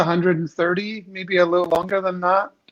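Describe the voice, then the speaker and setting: A man with a slight Scottish accent speaks in a high pitch at a fairly quick pace. His intonation is monotone and flat. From Scotland, Glasgow. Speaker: company executive. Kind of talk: casual interview.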